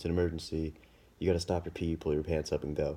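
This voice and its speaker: A man speaks quietly at a very deep, low pitch. His tone is dark and mellow. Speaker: health practitioner. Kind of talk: casual instructional talk. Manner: quiet, hushed.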